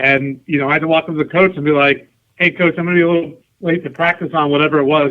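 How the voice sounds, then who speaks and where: A man with an American accent, fairly high-pitched, talking very fast in a flat monotone. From New York and New Jersey. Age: 40s. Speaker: soccer club president. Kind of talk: podcast interview. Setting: phone call.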